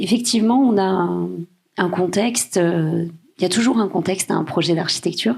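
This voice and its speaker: This is a put-on character voice with a hoarse quality. The pace is moderate. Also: woman, medium pitch for a woman. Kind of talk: academic, formal.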